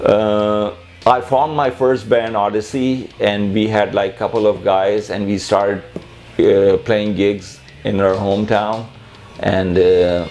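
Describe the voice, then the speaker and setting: A man with a Pakistani accent, fairly low-pitched, very slow, with fairly even intonation and music in the background. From Pakistan, Karachi. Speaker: musician. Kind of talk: personal interview monologue. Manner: halting, with repetitions and fillers.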